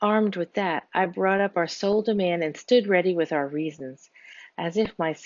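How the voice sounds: A natural reading voice, its pitch varying in ordinary ways.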